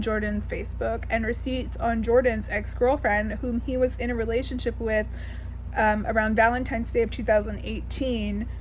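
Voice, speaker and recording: Audible room echo and noticeable background noise surround a woman speaking at a moderate pace. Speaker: beauty commentator. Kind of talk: opinion rant. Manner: halting.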